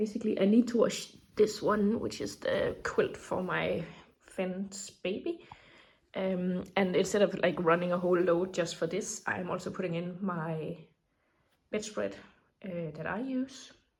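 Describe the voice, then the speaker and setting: A woman talks at a fairly slow pace with vocal fry. Her intonation stays fairly even. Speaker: vlogger. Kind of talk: casual vlog narration. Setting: outdoors in garden. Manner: soft-spoken.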